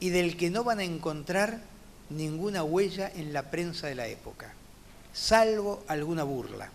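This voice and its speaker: A man speaks at a fairly slow pace with a high pitch. Audible room echo surrounds the voice. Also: ordinary pitch variation. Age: 60s. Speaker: judge. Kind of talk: lecture. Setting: conference talk.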